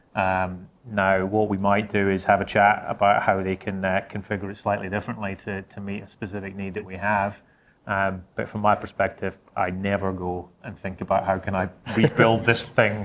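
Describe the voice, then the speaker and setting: A man with a Scottish accent, fairly low in pitch, at a moderate pace in a monotone, flat intonation, in a very clean recording with a silent background. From Scotland. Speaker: insurance technology executive. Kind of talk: panel discussion.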